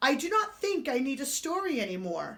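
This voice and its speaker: A woman performs a put-on character voice, high-pitched and fairly quick. Her pitch swings very widely. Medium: read story.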